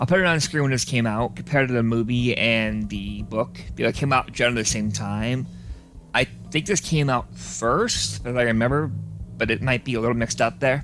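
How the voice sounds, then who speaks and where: A man speaks at a fairly quick pace over music in the background. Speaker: gaming youtuber. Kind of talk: gameplay commentary. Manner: fast.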